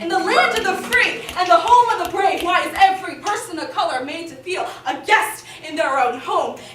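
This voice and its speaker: A woman speaks at a moderate pace with hardly any pauses, her extremely high pitch carrying lively intonation and big swings in loudness over noticeable background noise. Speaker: poet. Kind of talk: spoken word performance.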